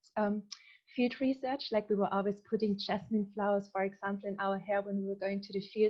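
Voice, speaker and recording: Speaking fairly quickly with a German accent, a woman keeps a medium pitch and a monotone, flat intonation. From southern Germany. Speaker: researcher. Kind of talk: presentation.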